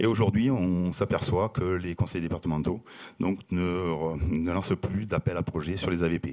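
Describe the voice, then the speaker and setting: A man's very deep, low voice with a dark, mellow tone and a Toulouse accent, at a fairly slow pace. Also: ordinary pitch variation. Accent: Toulouse accent, noticeable. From southern France, Toulouse. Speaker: company president, housing operator. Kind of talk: panel talk. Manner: halting, many fillers.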